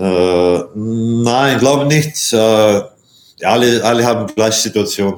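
A man with a Latvian accent speaks at a very slow pace with hardly any pauses. His loudness is very even, with ordinary pitch variation. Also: medium pitch for a man. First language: Latvian (speaking German). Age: 40s. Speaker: handball player. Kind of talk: interview. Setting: video call from hotel. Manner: halting, many hesitations.

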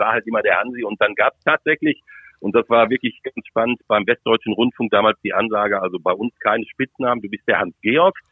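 Speaking with a plain, everyday voice, a man keeps to a medium pitch and fairly even intonation. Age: 50s. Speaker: football commentator. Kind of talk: interview.

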